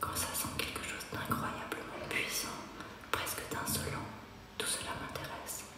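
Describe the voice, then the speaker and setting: A woman's whisper at a fairly slow pace. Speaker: performer reading from her own speculative diary. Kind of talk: intimate spoken-word performance, diary reading. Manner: whispered, intimate. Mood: intimate, introspective.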